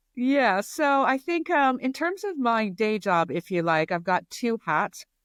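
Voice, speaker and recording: Fairly high-pitched, a woman with an American accent talks at a fairly slow pace with very wide pitch swings, in a dry, close sound with no echo. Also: very clean recording, silent background. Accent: American accent, kept after 20 years in UK. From US. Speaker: retail strategy consultant. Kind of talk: interview.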